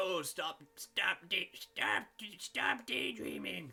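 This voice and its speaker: Over music in the background, a man puts on a character voice pitched high, talking at a very slow pace. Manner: scolding, impatient.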